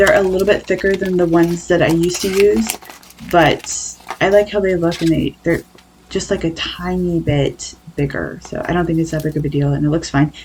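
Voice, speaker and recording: Over noticeable background noise, the speaker goes at a fairly quick pace with ordinary pitch variation. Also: woman, fairly low pitch for a woman. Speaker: craft video creator. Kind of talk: voiceover narration. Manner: casual, rambling.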